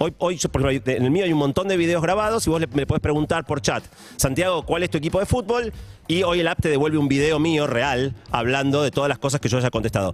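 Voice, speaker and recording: A man speaks at a fairly quick pace in a fairly high pitch, animated and with lively intonation. His loudness stays very even over noticeable background noise. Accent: Rioplatense. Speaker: science and technology columnist. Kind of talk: radio column chat.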